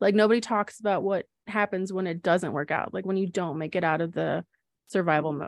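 Over a quiet background, a woman talks at a fairly quick pace and a fairly low pitch, with vocal fry, fairly even intonation and a dry, close sound with no echo. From Wisconsin, US Midwest. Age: 30s. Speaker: podcast co-host, small business owner and mom. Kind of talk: casual personal storytelling. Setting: studio with sibling co-host.

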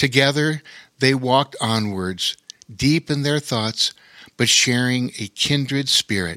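A natural reading voice comes through with ordinary pitch variation.

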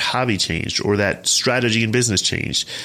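At a fairly quick pace, a man with a fairly low pitch talks in an ordinary speaking voice. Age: 30s. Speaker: fitness podcast host. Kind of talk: solo podcast monologue. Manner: casual, filler-heavy.

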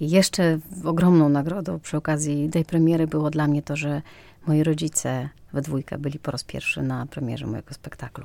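A woman with a very deep, low pitch and a dark, mellow tone talks at a fairly quick pace with fairly even intonation. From western Ukraine, near Polish border. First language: Ukrainian (speaking Polish). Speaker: actress. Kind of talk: interview.

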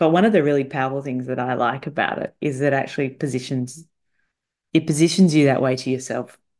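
Over a quiet background, a woman with a very deep, low pitch races along at a very fast pace using ordinary pitch variation. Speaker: salary negotiation coach. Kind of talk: solo podcast monologue. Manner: animated.

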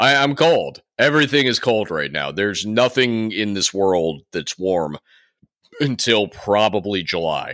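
On a very clean recording with a silent background, a man speaks at a fairly slow pace. His tone is animated, with very wide pitch swings. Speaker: podcast host. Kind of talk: casual banter podcast. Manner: joking, animated.

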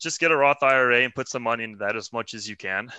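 A man with an American accent speaks at a very fast pace and medium pitch, his tone bright and sharp with ordinary pitch variation, the sound dry and close with no echo over a quiet background. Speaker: math teacher. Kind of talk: casual interview.

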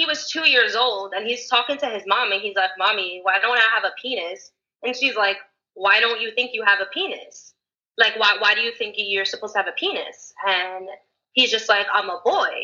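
A woman with a fairly high pitch, a moderate pace, ordinary pitch variation and a normal speaking voice. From Mexican-American. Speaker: activist and news co-host. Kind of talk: casual chat.

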